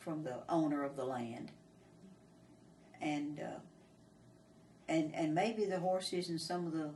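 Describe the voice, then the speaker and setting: A woman with a Texan accent and a very deep, low pitch speaks fairly slowly with long, frequent pauses and ordinary pitch variation amid audible room echo. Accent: Texan Southern US. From Texas, Falls County. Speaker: oral history interviewee. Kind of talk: oral history interview. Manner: halting, hesitant with repetitions.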